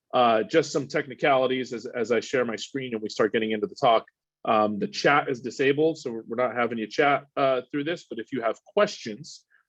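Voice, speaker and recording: Against a quiet background, a man talks fairly quickly at a medium pitch with ordinary pitch variation. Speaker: water polo organization director. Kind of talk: webinar presentation. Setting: video call. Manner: fast.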